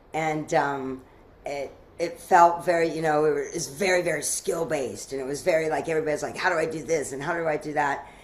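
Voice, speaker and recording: The speech comes at a fairly quick pace in a monotone, flat intonation, with audible room echo. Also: woman, very deep, low pitch for a woman. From US South, Asheville, North Carolina. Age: 60s. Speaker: mastermind leader and event organizer. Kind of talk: podcast interview. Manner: halting, many restarts.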